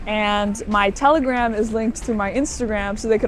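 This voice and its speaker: At a fairly quick pace, a woman with a Southern US accent and a fairly high pitch speaks with fairly even intonation. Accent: American, US South. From Florida, US. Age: young. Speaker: student, interviewee. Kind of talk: casual interview. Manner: hesitant, many fillers.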